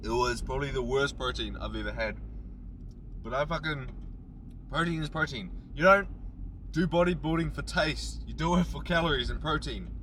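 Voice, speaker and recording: Audible room echo surrounds a man speaking at a moderate pace with long, frequent pauses. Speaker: bodybuilding vlogger. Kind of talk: casual gym vlog monologue. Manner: loud. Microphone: camera's built-in mic.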